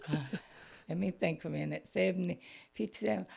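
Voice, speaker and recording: A woman talks in a Southern US accent. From Georgia, US South. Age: 60s. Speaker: Sunday school teacher. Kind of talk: testimony.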